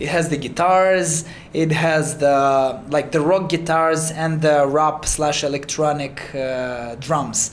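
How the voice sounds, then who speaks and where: With a Romanian accent, a man speaks in a fairly high pitch and fairly even intonation, with audible room echo and noticeable background noise. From Moldova. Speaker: singer and music producer. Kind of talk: interview. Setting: in-person interview. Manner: halting, many fillers and repeats.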